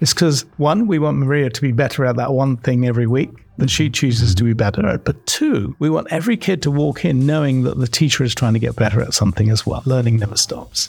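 Somewhat breathy, a man with a British accent and a medium pitch talks at a very fast pace with ordinary pitch variation. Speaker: corporate learning executive. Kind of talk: interview.

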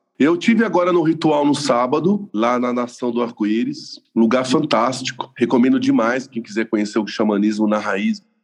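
With a normal speaking voice, a man at medium pitch talks at a moderate pace with lively intonation and hardly any pauses. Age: 40s. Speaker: lawyer and spiritual seeker. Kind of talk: testimony.

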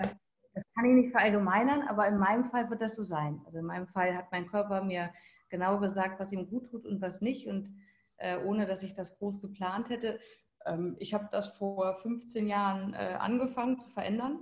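The voice moves at a moderate pace, somewhat breathy, with ordinary pitch variation. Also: woman, medium pitch for a woman. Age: 40s. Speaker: life and business coach. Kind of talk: casual interview conversation.

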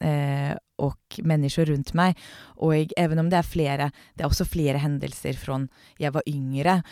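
In a very clean recording with a silent background and a dry, close sound with no echo, a woman speaks at a fairly slow pace with a very deep, low pitch, a dark, mellow tone and fairly even intonation. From Norway, Oslo. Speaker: company CEO. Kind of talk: interview. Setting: podcast booth.

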